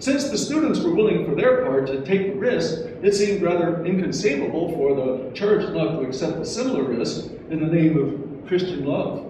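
Strong room echo and noticeable background noise surround a man talking at a moderate pace with very wide pitch swings. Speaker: memorial event organizer, community board member. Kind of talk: memorial speech. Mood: solemn, measured. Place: hall. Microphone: podium.

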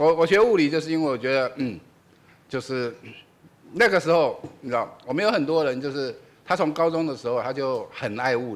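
Speaking at a fairly quick pace with lively intonation, a man with a fairly high pitch leaves long, frequent pauses. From Taiwan. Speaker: physics professor, event moderator. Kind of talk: introduction at public lecture. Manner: hesitant, many fillers. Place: hall. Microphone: podium.

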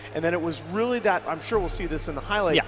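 A man talks over noticeable background noise. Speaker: esports panel analyst. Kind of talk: heated debate. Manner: fast, emphatic, reeling off timestamps and stats.

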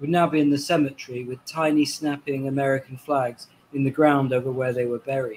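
A man with a Welsh accent talks at a fairly quick pace. His voice is somewhat breathy, and there is light background noise. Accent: Welsh-tinged British English. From Wales. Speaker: novelist. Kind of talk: book reading and panel conversation. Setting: video call. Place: home room.

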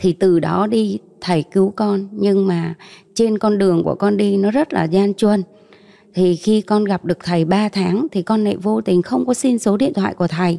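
In a quiet setting, a woman speaks at very even loudness with ordinary pitch variation. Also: moderate pace. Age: 40s. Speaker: mother giving faith testimony; interview guest. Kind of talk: testimony. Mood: calm, earnest faith testimony. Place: studio. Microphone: handheld.

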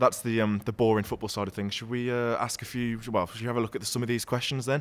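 A man with a Brummie accent at medium pitch, fairly even intonation and a very fast pace. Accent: Brummie (Birmingham) English. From Birmingham, England. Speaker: football YouTuber. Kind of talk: casual chat; casual podcast Q&A chat. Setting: social club venue. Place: bar. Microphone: studio mic.

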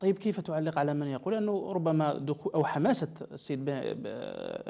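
Against a quiet background, a man speaks at a fairly quick pace in a dark, mellow tone. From Algeria. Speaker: TV interviewer. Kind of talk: TV interview. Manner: formal. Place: studio. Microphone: lapel.

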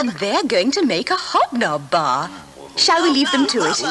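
A woman at a fairly slow pace, cheerful in tone, with very wide pitch swings and noticeable background noise. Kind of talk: TV commercial read. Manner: cheerful children's presenter style.

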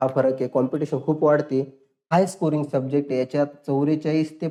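A man's fairly high voice with a dark, mellow tone. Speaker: exam coaching teacher. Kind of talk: online tutorial lecture. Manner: animated.

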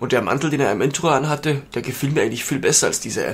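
Through noticeable background noise, a man's speech rushes along at a very fast pace. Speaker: gaming let's player. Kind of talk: let's play commentary. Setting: home recording. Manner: animated.

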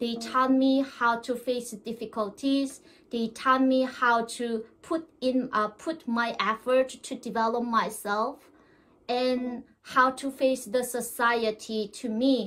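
Speaking very slowly, a woman with a Korean accent keeps a monotone, flat intonation. Her pitch is high. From North Korea. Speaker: North Korean defector. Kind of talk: interview. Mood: warm, smiling. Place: home room.

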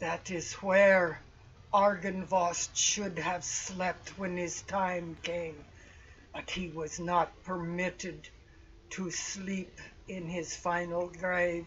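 A put-on character voice at a middle pitch, very slow and flat in a monotone, over clear background noise. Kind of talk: archaic formal speech. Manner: solemn, grave, formal.

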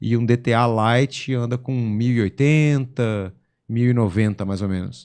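Speaking at a very slow pace with fairly even intonation, the voice sits against a quiet background. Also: man, medium pitch for a man. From São Paulo state, Brazil (São José do Rio Preto); São Paulo, Brazil. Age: 40s. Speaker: drag racing driver; podcast guest. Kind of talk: casual interview chat. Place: studio. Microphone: studio mic.

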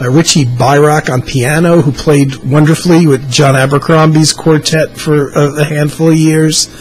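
At a moderate pace, a man speaks in a monotone, flat intonation with hardly any pauses, over light background noise. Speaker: music fan vlogger. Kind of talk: casual vlog chat. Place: home room. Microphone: webcam.

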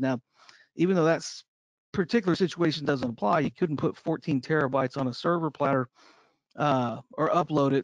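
Against a quiet background, a man with an American accent talks at a fairly quick pace in a fairly high voice with ordinary pitch variation and a dry, close sound with no echo. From Texas. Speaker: evidence management trainer. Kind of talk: online training lecture. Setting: online video session. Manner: relaxed, jokey.

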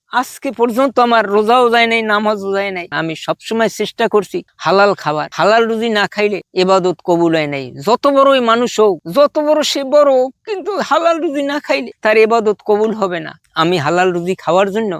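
A man speaks in a high voice with lively intonation. The sound is dry and close, with no echo. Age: 50s. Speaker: villager interviewed on elections. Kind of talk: street interview.

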